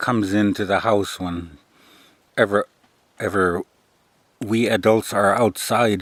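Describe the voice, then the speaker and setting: In a relaxed tone and fairly low pitch, a man speaks at a fairly slow pace, the sound dry and close with no echo. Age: 50s. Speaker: military veteran and vlogger. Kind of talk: casual vlog monologue. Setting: outdoors by a tipi. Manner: monotone; relaxed, meandering with fillers.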